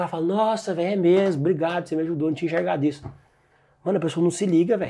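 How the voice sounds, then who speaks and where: A man speaks at a fairly high pitch with a dark, mellow tone. His pitch varies in an ordinary way. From Brazil, Goiás (Goiânia). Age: 20s. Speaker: digital marketing entrepreneur. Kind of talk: casual chat.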